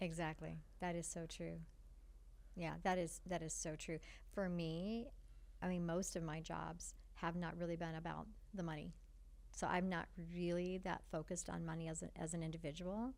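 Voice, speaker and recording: With audible room echo, a woman speaks at a moderate pace and fairly low pitch, her intonation fairly even, with long, frequent pauses. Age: 60s. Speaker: foundation partnerships director. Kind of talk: podcast interview.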